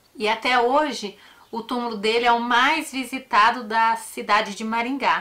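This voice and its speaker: A woman's fairly high voice moves fairly slowly, its pitch varying in an ordinary way. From Paraná, Brazil, raised in a Northeastern family. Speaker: true crime YouTuber. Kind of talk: casual personal talk to viewers; narration of a true crime case.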